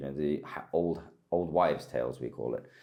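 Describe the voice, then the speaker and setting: At a moderate pace, the voice carries a dark, mellow tone with vocal fry and a British accent. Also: man. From United Kingdom. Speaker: war correspondent. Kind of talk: interview answer.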